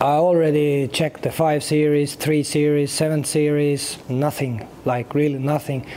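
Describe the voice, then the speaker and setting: The speech moves at a fairly slow pace, with noticeable background noise underneath. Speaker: car YouTuber. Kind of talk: casual vlog. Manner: halting.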